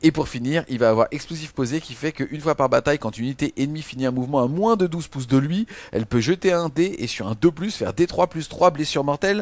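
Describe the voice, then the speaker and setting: A man's very fast, animated delivery at a fairly high pitch, lively in intonation with hardly any pauses, dry and close with no echo. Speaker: wargaming video co-host. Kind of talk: casual game rules review.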